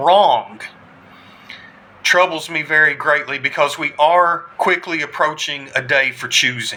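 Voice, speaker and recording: Speaking fairly slowly, a man with an American accent uses a fairly high pitch. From US South. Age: 40s. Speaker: army combat veteran. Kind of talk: political address to camera. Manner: impassioned.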